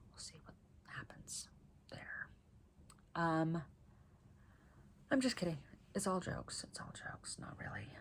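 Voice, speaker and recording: Whispering at a fairly slow pace, a woman with an American accent shifts sharply in loudness and leaves long, frequent pauses. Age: 30s. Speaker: knitting vlogger. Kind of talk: casual vlog monologue. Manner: animated.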